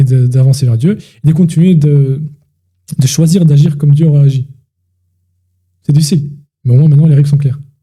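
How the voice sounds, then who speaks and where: A man's fairly high voice, dark and mellow in tone, somewhat breathy, at a fairly quick pace. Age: 20s. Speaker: podcast co-host. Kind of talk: casual chat. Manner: animated.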